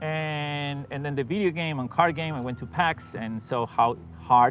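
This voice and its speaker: Ordinary pitch variation in a Spanish accent, with music in the background. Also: man. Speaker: fantasy writer. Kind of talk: podcast interview. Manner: hesitant, many fillers.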